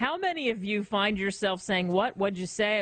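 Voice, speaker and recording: A woman speaks at a moderate pace in a normal speaking voice, medium in pitch with lively intonation. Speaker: radio host. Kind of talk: radio talk show hosting.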